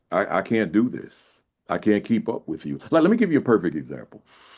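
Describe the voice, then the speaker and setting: In a quiet background, a man with an American accent talks at a fairly quick pace with very wide pitch swings. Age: 60s. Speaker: school principal and education speaker. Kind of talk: podcast interview. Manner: many repetitions and restarts; casual, conversational.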